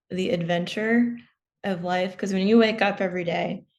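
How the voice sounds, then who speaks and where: Against a quiet background, a woman with an American accent and a plain, everyday voice talks at medium pitch and a moderate pace, with ordinary pitch variation. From US, Maryland. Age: 20s. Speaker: commercial pilot and former naval aviator. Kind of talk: interview.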